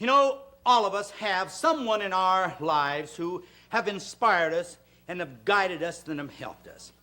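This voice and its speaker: At a moderate pace, a raised, projected voice with a bright, sharp tone moves through lively intonation and big swings in loudness. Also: man, high pitch for a man. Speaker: fitness TV host. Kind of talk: TV show presenting.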